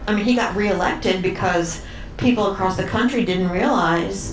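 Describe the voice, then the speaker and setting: With an American accent, a woman speaks at a medium pitch and a fairly quick pace. The recording has audible room echo and noticeable background noise. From Washington DC area. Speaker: talk show guest, cruise ship resident. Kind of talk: talk show interview. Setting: stage with live audience.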